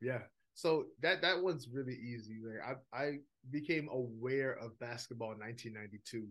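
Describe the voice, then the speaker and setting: A man talks with a New York accent. His pitch sits in the middle and his pace is fairly slow. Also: ordinary pitch variation. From New York (Brooklyn), Jamaican heritage. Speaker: minister and seminary director. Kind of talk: casual interview chat.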